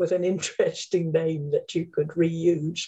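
This woman has an English accent. Her pace is fairly slow. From England. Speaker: name studies scholar, dictionary co-author. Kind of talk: interview.

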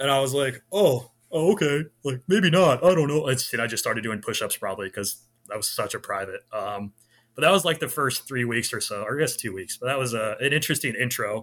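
Fairly quick, lively speech with an American accent on a very clean recording with a silent background. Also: man, fairly high pitch for a man. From Central California, US (Clovis, Fresno area). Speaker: sales director and Army veteran. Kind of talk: casual interview chat.

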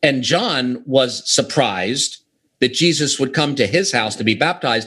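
Using a normal speaking voice, a man with an American accent talks at a fairly high pitch with lively intonation. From US, Pittsburgh. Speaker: author. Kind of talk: interview. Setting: remote call.

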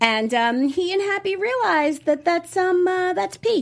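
A woman speaks in an animated tone, her pitch swinging very widely. The recording is very clean with a silent background. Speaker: TV after-show host. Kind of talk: casual episode recap chat. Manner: animated, talks over co-host.

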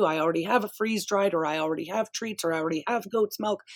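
In a Canadian accent, a woman talks with an unremarkable speaking voice at medium pitch and ordinary pitch variation. The recording is very clean, with a silent background. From Canadian prairies. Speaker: pet store owner and podcast host. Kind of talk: casual interview.

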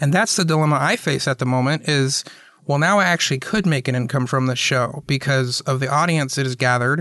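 In an American accent, this voice has a bright, sharp tone, ordinary pitch variation and a fairly quick pace. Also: man, fairly high pitch for a man, very even loudness. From US South, Atlanta. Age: 30s. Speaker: podcast host. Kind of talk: casual chat.

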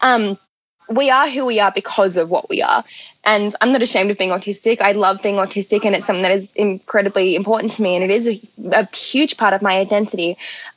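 Very fast and at very even loudness, a woman speaks at medium pitch with ordinary pitch variation. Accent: Australian. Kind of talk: interview.

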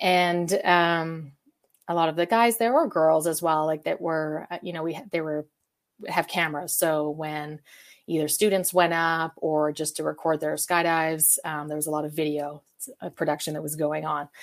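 In a Western Canadian accent, the speaker talks at a moderate pace with fairly even intonation and big swings in loudness, on a very clean recording with a silent background. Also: woman, very deep, low pitch for a woman. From Calgary, Canada. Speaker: live event producer. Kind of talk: interview.

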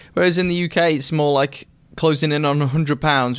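A man with a British accent talks at a fairly quick pace, with ordinary pitch variation, on a very clean recording with a silent background. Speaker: watch reviewer YouTuber. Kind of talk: casual chat.

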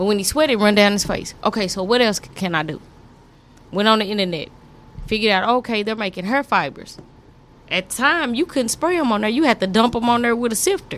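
A woman with an American accent talks at a fairly quick pace. Her voice is fairly high with lively intonation. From Texas, Fort Worth. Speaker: barber and instructor. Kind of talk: casual interview. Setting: studio.

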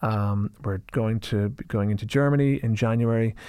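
Recorded very cleanly over a silent background, a man speaks with an Irish accent at a medium pitch. His tone is dark and mellow, and his intonation fairly even. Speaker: drinks company founder. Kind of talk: interview.

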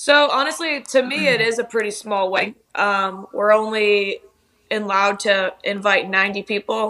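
Her pace is fairly slow. This woman's pitch sits fairly high, with ordinary pitch variation. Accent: American. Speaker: TikTok creator. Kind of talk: casual interview chat.

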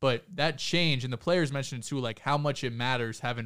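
Over a very clean recording, silent background, a man speaks at medium pitch in an unremarkable speaking voice. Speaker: podcast co-host. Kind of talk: casual sports podcast chat.

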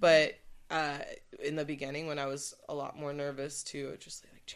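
At a moderate pace, a woman speaks in a bright, sharp tone with an American accent. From Santa Barbara, California. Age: 20s. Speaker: rapper. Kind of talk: casual chat. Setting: studio.

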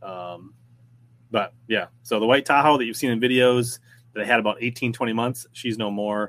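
With an American accent, a man speaks at a moderate pace and medium pitch with fairly even intonation. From Minnesota. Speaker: fishing podcast host. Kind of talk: casual livestream chat.

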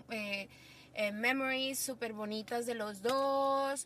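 A woman speaks with ordinary pitch variation. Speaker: podcast guest, friend of host. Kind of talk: casual chat.

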